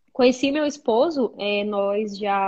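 A woman's normal speaking voice, fairly high in pitch, with ordinary pitch variation. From Brazil, interior of Amazonas. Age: 20s. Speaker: psychologist. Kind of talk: casual interview.

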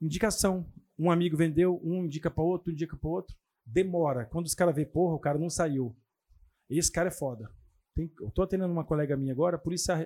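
Recorded dry and close with no echo, a man talks at a very fast pace in a dark, mellow tone, his high pitch showing ordinary variation. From Mato Grosso do Sul, Brazil. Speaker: real estate agent. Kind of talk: casual chat.

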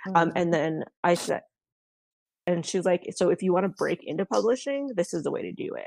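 Speaking fairly quickly with a Canadian accent, a woman comes through with a dry, close sound and no echo. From Canada. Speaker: indie romance author. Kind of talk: interview.

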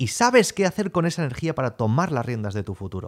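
Recorded very cleanly with a silent background, a man speaks with very wide pitch swings. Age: 30s. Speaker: sales coach podcaster. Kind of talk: motivational monologue. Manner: animated.

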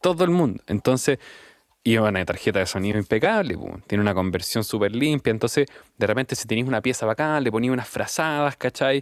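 A man with a Chilean accent talks at a fairly quick pace, his medium pitch carried by lively intonation. The recording is very clean with a silent background, and the sound is dry and close with no echo. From Chile, Temuco. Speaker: musician. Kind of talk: interview.

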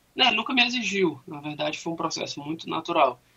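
Pitched fairly high, a man talks in an ordinary speaking voice with ordinary pitch variation. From Fortaleza, Brazil. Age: 30s. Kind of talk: radio interview, faith testimony.

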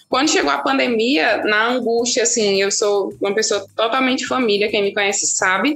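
Lively intonation at a moderate pace, with very even loudness, hardly any pauses, and noticeable background noise. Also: woman, fairly high pitch for a woman. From Brazil, Petrolina, Pernambuco. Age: 30s. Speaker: resident doctor. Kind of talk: interview.

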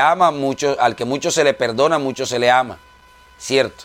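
A man speaks while noticeable noise fills the background. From Colombia. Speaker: preacher. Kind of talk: sermon. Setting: radio broadcast.

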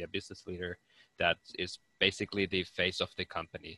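The voice has a bright, sharp tone and a Finnish accent, delivered with monotone, flat intonation. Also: man, dry, close sound with no echo. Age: 20s. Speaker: business student and entrepreneur. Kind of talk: interview.

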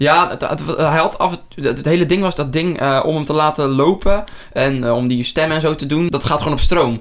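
A man with a normal speaking voice and a fairly high pitch talks at a moderate pace with ordinary pitch variation. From Netherlands, near Rotterdam. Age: 20s. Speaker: podcast host. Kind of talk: casual chat.

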